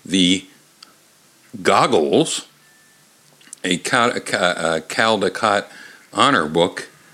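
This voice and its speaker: A man's voice over noticeable background noise. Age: 50s. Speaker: comedy podcast host reading children's books. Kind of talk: comedic reading aloud. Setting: bar. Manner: halting.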